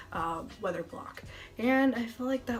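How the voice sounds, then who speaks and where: A high-pitched woman with an American accent, over noticeable background noise. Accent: some think she has an. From central Massachusetts. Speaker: TV meteorologist. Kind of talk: casual vlog talk. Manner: fast.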